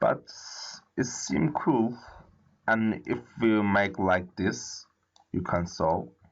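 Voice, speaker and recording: A man with a non-native accent speaks very slowly with long, frequent pauses, his fairly low voice swinging very widely in pitch at a very even loudness. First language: not English. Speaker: coding tutorial creator. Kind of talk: tutorial. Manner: halting.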